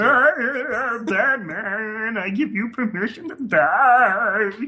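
A put-on character voice speaks at a very slow pace with a fairly high pitch. Music plays in the background.

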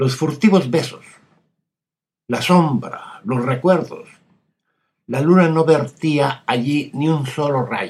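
A man's fairly high, somewhat breathy voice at a very slow pace, with ordinary pitch variation and long, frequent pauses. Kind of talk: poetry reading aloud, scripted literary narration of a poem. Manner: slow, hushed, intimate and wistful, with measured dramatic pauses.

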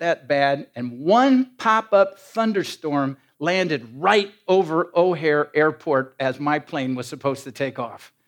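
In an American accent, a man with a fairly high pitch speaks in an animated tone, his pitch swinging very widely. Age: 60s. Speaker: professor and preacher. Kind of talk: sermon. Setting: church with audience.

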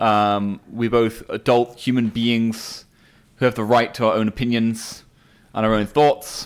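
In an English accent, a man talks at a fairly slow pace with a medium pitch and flat, monotone intonation, on a very clean recording with a silent background. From England. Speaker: podcast co-host. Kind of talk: casual chat. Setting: casual conversation while smoking cigars. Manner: hesitant, filled with pauses.

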